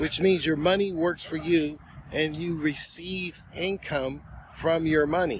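A man with a high pitch and ordinary pitch variation speaks at a moderate pace, in a dry sound with no echo and light background noise. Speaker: finance vlogger. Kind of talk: casual vlog chat. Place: garden. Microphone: phone near.

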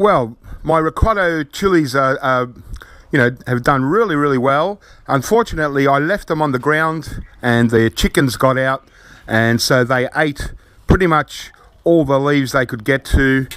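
A man with an Australian accent, a fairly high pitch and a dry sound with no echo. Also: ordinary pitch variation, moderate pace. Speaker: gardening video creator. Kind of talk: casual tutorial. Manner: casual, hesitant with many fillers. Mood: relaxed, pleased. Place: garden. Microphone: phone near.

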